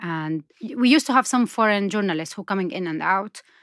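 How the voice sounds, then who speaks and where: A woman with an Arabic accent speaks with lively intonation. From Syria. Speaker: documentary filmmaker. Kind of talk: interview.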